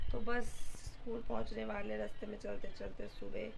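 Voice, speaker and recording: Audible room echo and noticeable background noise fill the recording. Through them, a woman talks at a fairly slow pace. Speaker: school teacher vlogger. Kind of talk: casual vlog. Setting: walking outdoors to school.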